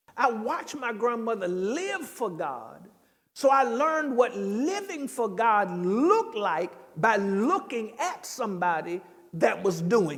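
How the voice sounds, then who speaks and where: A man's extremely high voice at a fairly slow pace, with very wide pitch swings, big swings in loudness and audible room echo. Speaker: pastor. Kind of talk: bible study teaching. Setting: church.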